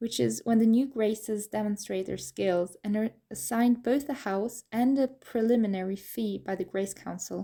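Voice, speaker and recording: A woman with a normal speaking voice talks at a moderate pace with hardly any pauses. Her pitch is fairly high and her intonation fairly even. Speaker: audiobook narrator. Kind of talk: audiobook narration.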